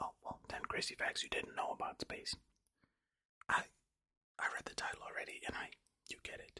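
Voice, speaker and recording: Whispering, a man talks at a fairly quick pace. He leaves long, frequent pauses. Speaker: ASMR creator. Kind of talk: ASMR reading facts. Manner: soft-spoken.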